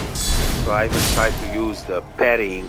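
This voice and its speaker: A man speaks over noticeable background noise. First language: not English. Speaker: gaming streamer. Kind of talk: gameplay commentary. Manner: casual, hesitant with fillers. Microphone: quiet microphone.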